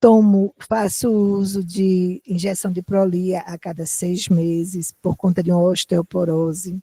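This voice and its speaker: In a dry, close sound with no echo, a woman speaks at a fairly slow pace with hardly any pauses, her tone dark, mellow and somewhat breathy, her intonation monotone and flat. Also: medium pitch for a woman. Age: 60s. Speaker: doctor acting as patient, dancer. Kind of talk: role-play patient consultation. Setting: lecture hall with audience.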